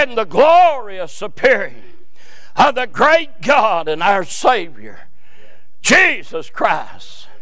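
A man's voice swings very widely in pitch, with audible room echo and noticeable background noise in the recording. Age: 60s. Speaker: preacher. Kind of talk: sermon. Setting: church. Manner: animated.

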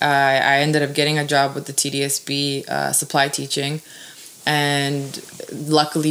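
A woman with a Canadian accent, very deep and low in pitch, at a fairly slow pace with monotone, flat intonation, over noticeable background noise. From Toronto west end, Canada (born in Serbia). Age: 20s. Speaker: teacher. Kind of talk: casual chat.

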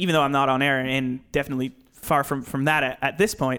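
A man talks at a very fast pace with a fairly high pitch and a bright, sharp tone. His intonation is fairly even, and the recording is very clean with a silent background. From Nova Scotia, Canada. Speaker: sports broadcaster, former student. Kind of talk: casual chat.

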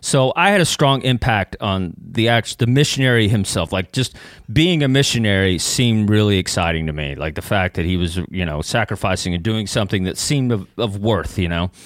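This speaker talks at a fairly quick pace with lively intonation and an American accent. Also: man. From East Texas (Kilgore). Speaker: comedian and former missionary. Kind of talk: casual chat. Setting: studio.

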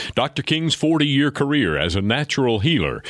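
The man speaks with vocal fry. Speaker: radio host. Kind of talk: radio show hosting and ad reads.

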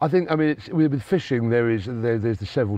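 Speaking at a fairly quick pace, a man with a fairly low pitch uses lively intonation. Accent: southern English. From southern England, Sussex. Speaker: sporting agent. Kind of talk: casual interview chat. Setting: recorded on location abroad.

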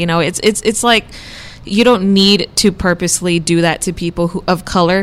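Over noticeable background noise, a woman talks at a fairly quick pace with a fairly low voice and ordinary pitch variation. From Texas border, Brownsville. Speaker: student newspaper columnist. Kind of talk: casual chat.

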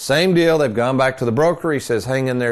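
A man speaks at medium pitch and a moderate pace. It is a normal speaking voice over a quiet background. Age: 60s. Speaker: radio host and retirement planner. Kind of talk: radio talk show.

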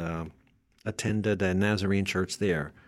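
Recorded very cleanly over a silent background, a man speaks in a plain, everyday voice with fairly low pitch and fairly even intonation. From northwestern Pennsylvania. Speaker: retired Air Force veteran and churchgoer. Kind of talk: casual interview.

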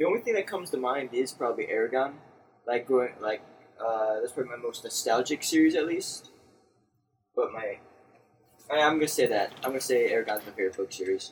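A man talks at a very fast pace but with long, frequent pauses. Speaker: podcast host. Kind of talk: casual chat.

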